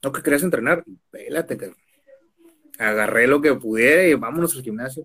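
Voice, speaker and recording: Speech comes at a fairly quick pace, with ordinary pitch variation. Loudness swings widely, and pauses are long and frequent. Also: man, fairly high pitch for a man. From Mexico, Tijuana. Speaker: professional wrestler. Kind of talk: casual interview. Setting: video call.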